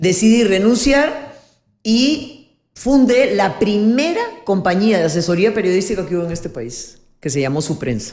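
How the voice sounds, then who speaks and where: A woman speaks with vocal fry at medium pitch and a fairly slow pace. Her pitch swings very widely, and room echo is audible. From Peru, Lima. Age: 70s. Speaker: politician and former journalist. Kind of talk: interview, life story.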